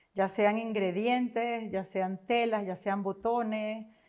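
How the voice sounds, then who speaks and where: A woman speaks with a Venezuelan accent at a fairly high pitch. Her intonation is fairly even on a very clean recording with a silent background. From Venezuela, Caracas. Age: 50s. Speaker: entrepreneur. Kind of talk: interview.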